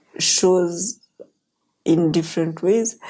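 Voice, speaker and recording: A woman's fairly low-pitched voice with a dark, mellow tone. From Kenya. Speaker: pastor. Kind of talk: interview.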